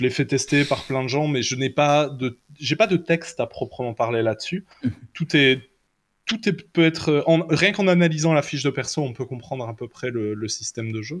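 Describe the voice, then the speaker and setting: This man has a plain, everyday voice with fairly high pitch. He speaks at a moderate pace with lively intonation. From Belgium. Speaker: tabletop role-playing game designer. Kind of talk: casual chat.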